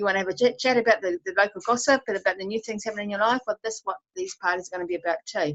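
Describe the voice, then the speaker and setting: Speaking at a very fast pace with lively intonation, a woman is heard in a dry, close sound with no echo. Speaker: co-host of live herbal healing party. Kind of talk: casual live stream chat. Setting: live stream.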